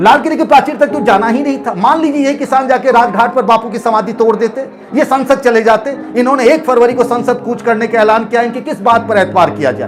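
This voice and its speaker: Over noticeable background noise, a man talks at an extremely high pitch with hardly any pauses. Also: ordinary pitch variation, moderate pace. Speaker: news commentator. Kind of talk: opinion commentary. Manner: impassioned.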